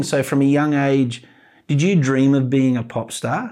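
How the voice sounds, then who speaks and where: A man with an Australian accent has a fairly high pitch. His tone is dark and mellow. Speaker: podcast host. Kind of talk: casual chat. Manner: animated.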